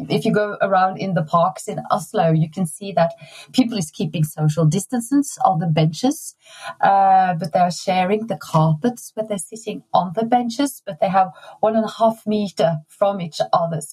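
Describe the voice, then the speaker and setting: With music in the background, a woman with a Norwegian accent speaks at a moderate pace and medium pitch with lively intonation. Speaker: design exhibition curator. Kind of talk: interview conversation. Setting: remote recording.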